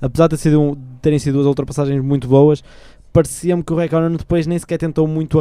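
At a very fast pace, a man talks with a dark, mellow tone and a fairly high pitch. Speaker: student radio panelist. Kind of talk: casual chat.

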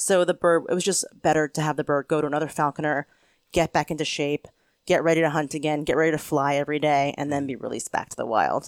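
In a very clean recording with a silent background, a woman with an American accent talks very fast in a very deep, low pitch and fairly even intonation, the sound dry and close with no echo. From Pennsylvania. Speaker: homesteader, author and falconer. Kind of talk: casual interview. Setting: seated on her farm.

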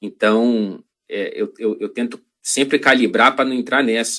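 In a Rio de Janeiro accent, a man speaks at a medium pitch with a bright, sharp tone and fairly even intonation. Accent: Carioca Brazilian Portuguese. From Rio de Janeiro, Brazil. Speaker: journalist. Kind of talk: casual interview. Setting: video call.

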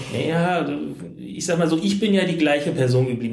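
With noticeable background noise and audible room echo, a man talks at a very fast pace. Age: 40s. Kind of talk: interview. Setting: hotel room.

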